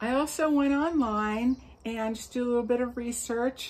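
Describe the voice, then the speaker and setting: Fairly slow, somewhat breathy speech from a woman. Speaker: yarn crafts vlogger. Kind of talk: casual vlog chat. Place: garden. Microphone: phone near.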